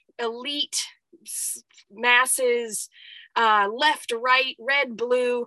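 In a quiet background, a woman speaks at a very slow pace with a high pitch. Her tone is bright and sharp, and the sound is dry and close with no echo. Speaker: herbalist and spiritual coach. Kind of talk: solo monologue podcast. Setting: solo recording in cold apothecary.

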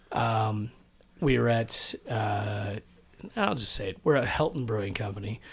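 At a very slow pace, a man with a fairly low pitch sounds somewhat breathy, his pitch varying in an ordinary way. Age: 40s. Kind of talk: casual chat.

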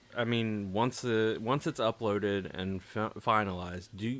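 A normal speaking voice from a man, medium in pitch, with fairly even intonation and a moderate pace. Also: hardly any pauses. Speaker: podcast co-host. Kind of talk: casual chat. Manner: joking, bawdy.

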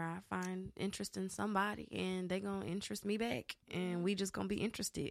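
At a fairly quick pace, a woman talks at a medium pitch. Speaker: R&B singer, military veteran. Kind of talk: casual chat.

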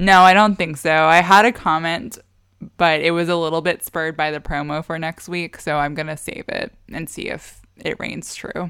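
Big swings in loudness run through a woman's plain, everyday voice, fairly low in pitch at a moderate pace, on a very clean recording with a silent background. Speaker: podcast host. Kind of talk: casual chat.

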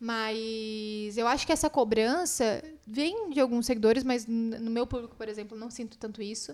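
A woman speaks at a fairly high pitch and a moderate pace. Her pitch varies in an ordinary way while her loudness swings widely. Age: 20s. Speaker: muralist and content creator. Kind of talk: casual chat. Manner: talkative.

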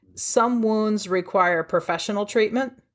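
A woman with a Midwestern US accent, a moderate pace and ordinary pitch variation, in a very clean recording over a silent background. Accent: US Midwest. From Ohio, US. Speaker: trauma therapist and author. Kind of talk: interview.

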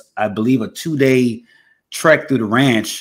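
Using a normal speaking voice, a man talks at a fairly slow pace. His pitch variation is ordinary. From Texas. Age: 30s. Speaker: podcast host. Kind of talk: casual chat.

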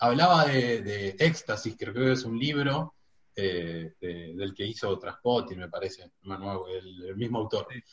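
Speaking at a fairly slow pace, a man uses lively intonation in a somewhat breathy, medium-pitched voice. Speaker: sports journalist. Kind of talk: casual chat.

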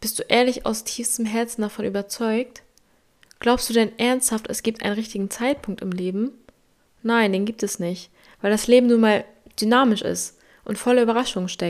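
This woman's voice sits at a fairly high pitch. She speaks with a monotone, flat intonation. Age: 20s. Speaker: podcast host. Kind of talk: motivational monologue. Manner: direct, emphatic.

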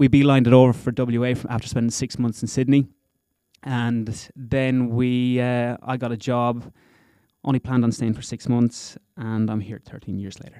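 A man speaks at a moderate pace in a dark, mellow tone, his intonation monotone and flat. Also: medium pitch for a man. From Ireland, County Wexford. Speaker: company founder. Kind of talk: casual interview. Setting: studio.

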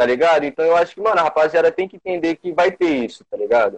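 Very fast delivery from a man, high in pitch, with ordinary pitch variation. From Brazil, São Paulo state (São José do Rio Preto). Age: 20s. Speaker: rapper. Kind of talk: casual interview. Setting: live stream video call.

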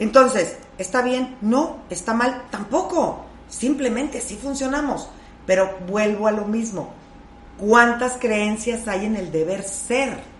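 Against noticeable background noise and audible room echo, a woman with a fairly high voice speaks at a very slow pace with ordinary pitch variation. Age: 50s. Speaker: life coach. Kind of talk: casual chat.

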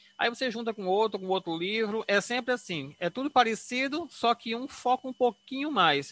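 Against a quiet background, a man with a high, bright, sharp voice speaks at a moderate pace in a raised, projected voice with very wide pitch swings and a dry, close sound with no echo. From João Pessoa, Northeast Brazil. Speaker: doctor. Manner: halting, hesitant.

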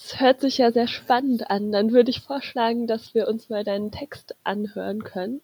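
A woman with a fairly high pitch speaks at a moderate pace with fairly even intonation and hardly any pauses, the sound dry and close with no echo. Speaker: podcast co-host. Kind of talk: casual chat.

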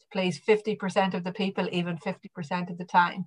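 Fairly even intonation comes through in an Irish accent over a quiet background. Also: woman. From west of Ireland, County Mayo. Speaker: sports administrator. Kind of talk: interview.

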